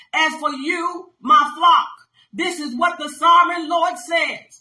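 In a bright, sharp tone, a woman with an extremely high pitch raises and projects her voice at a very slow pace, with audible room echo. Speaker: pastor. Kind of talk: sermon with scripture reading and commentary. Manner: emphatic, call-and-response preaching style. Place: home room. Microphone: phone near.

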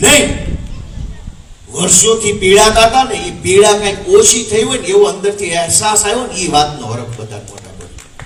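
Noticeable background noise and audible room echo around a man's raised, projected voice with lively intonation. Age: 30s. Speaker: politician. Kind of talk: political speech. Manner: animated.

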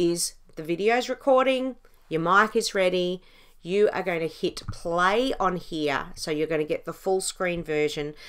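Speaking at a fairly slow pace, a woman has fairly low pitch, a fairly bright tone and ordinary pitch variation.

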